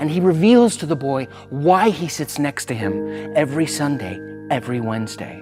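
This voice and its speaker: Music in the background beneath a man's voice at a moderate pace. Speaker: spoken word poet. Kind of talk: spoken word poetry performance.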